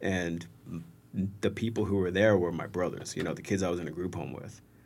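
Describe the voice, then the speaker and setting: Amid audible room echo, a man with a very deep, low pitch speaks at a fairly quick pace in a monotone, flat intonation. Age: 30s. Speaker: soccer supporter group member. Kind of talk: casual chat.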